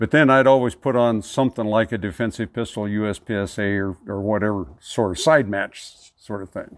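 This man has an ordinary speaking voice with an American accent. His pitch is fairly low and his pace fairly quick. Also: ordinary pitch variation, hardly any pauses. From northern California near the Oregon border. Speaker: shooting range club president. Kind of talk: casual interview.

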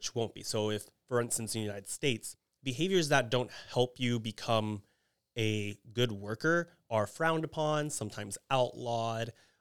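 A man with an American accent speaks at a moderate pace in a plain, everyday voice, his pitch medium with ordinary variation. The recording is very clean with a silent background, and the sound is dry and close with no echo. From Texas, Houston area (Kingwood). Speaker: criminology professor. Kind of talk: casual chat.

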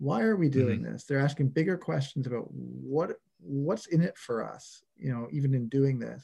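This man's somewhat breathy voice moves at a moderate pace, its pitch varying in an ordinary way. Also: medium pitch for a man. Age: 40s. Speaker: construction data executive and leadership coach. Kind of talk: interview conversation. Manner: hesitant with frequent repetitions.

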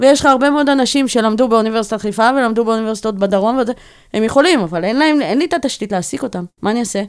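In a very clean recording with a silent background, a woman speaks very fast, her fairly high pitch showing ordinary variation. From Israel, Bat Yam. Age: 40s. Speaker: tech operations executive. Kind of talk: interview. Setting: studio.

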